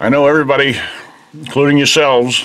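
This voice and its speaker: A man at a medium pitch talks at a fairly quick pace over noticeable background noise. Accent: American. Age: 60s. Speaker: video blogger. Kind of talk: casual vlog. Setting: mountain cabin and outdoors.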